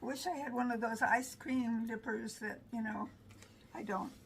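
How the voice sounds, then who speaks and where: Noticeable background noise and audible room echo around a woman's fairly high voice, moving at a moderate pace. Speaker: home cooking and garden vlogger. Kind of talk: cooking tutorial. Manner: sometimes mumbles, quiet; casual, chatty.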